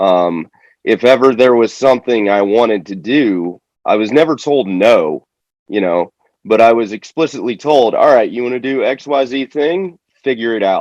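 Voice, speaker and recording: In an ordinary speaking voice, a man with an American accent talks at a moderate pace and medium pitch, his intonation lively. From Florida, US South. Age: 20s. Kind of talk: casual interview chat. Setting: call.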